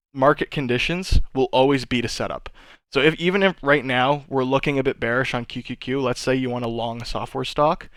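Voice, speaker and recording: In a very clean recording with a silent background, a man with an ordinary speaking voice and medium pitch talks at a fairly quick pace with fairly even intonation. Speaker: stock trader streaming market analysis. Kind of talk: live stream market tutorial. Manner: casual, many fillers.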